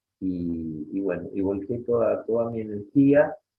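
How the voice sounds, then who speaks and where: Very slow pace from a man at fairly low pitch, with ordinary pitch variation. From Rosario, Santa Fe, Argentina. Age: 60s. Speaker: Guaraní language and culture teacher. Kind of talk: interview. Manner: halting, many fillers and repetitions.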